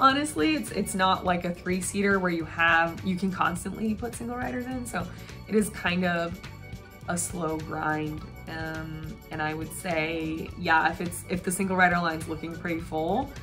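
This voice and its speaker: Music plays in the background as a woman speaks at a fairly low pitch with ordinary pitch variation. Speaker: travel vlogger. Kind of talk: casual talk to camera.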